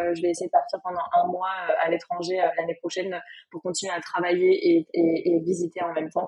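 A woman keeps a medium tempo and fairly flat intonation as noticeable noise sounds in the background. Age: 20s. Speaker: content creator and business owner. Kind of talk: interview.

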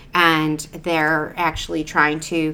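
A woman with an American accent speaks at a fairly slow pace in a very deep, low pitch. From US Midwest, Cleveland area, Ohio. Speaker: event producer. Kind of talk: interview conversation.

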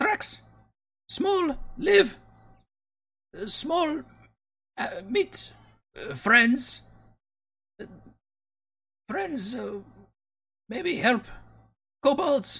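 The voice is a put-on character at a high pitch. Delivery is very slow, with long, frequent pauses. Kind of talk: broken, simple speech.

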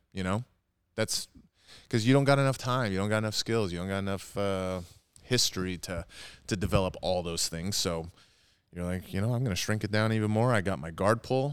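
In a very clean recording with a silent background, a man with a fairly low pitch talks at a fairly quick pace, with ordinary pitch variation and long, frequent pauses. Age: 30s. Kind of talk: casual chat. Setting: gym, seated on mats.

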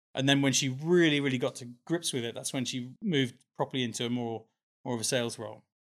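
On a very clean recording with a silent background, a medium-pitched man talks at a very fast pace with fairly even intonation. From Dubai. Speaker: iced coffee entrepreneur. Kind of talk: casual interview chat.

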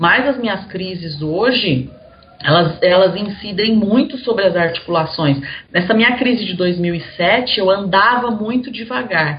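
The speech moves at a fairly slow pace with lively intonation. Noticeable background noise and audible room echo surround it. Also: woman, medium pitch for a woman. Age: 40s. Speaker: journalist and Crohn's patient. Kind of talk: casual interview about illness.

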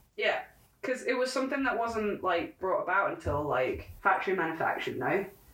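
Her pitch is fairly high and swings very widely as this woman talks at a fairly quick pace. Noticeable background noise is present. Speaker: podcast co-host. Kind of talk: casual chat.

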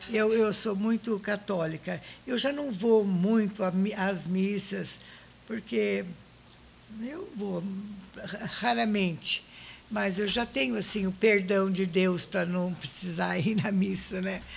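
A woman talks at a very slow pace, at a medium pitch with ordinary pitch variation. Long pauses come often, and background noise is noticeable. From Brazil, São Paulo state interior (Monte Alto). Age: 80s+. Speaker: retired music teacher. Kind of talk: interview.

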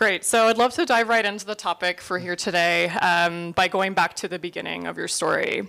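Using vocal fry, a woman talks at a medium pitch and a fairly quick pace, with fairly even intonation and hardly any pauses. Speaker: interviewer, seminar moderator. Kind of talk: moderated interview with audience. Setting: stage with audience.

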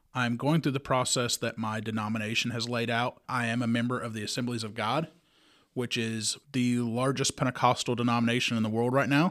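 Speaking in a Kentucky accent, the voice moves at a fairly quick pace with fairly even intonation. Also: man. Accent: Southern US (Kentucky). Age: 30s. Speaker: podcast host, lay Bible teacher. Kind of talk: religious podcast monologue. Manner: casual, with fillers.

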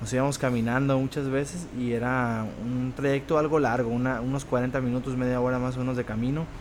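A man's medium-pitched voice proceeds at a fairly slow pace. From Tepic, Nayarit, Mexico. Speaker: mixed martial arts fighter. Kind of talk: interview. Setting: restaurant. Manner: halting.

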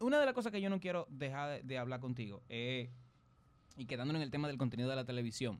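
A man races along very fast at medium pitch, his pitch moving in an ordinary way. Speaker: online show host. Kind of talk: casual chat.

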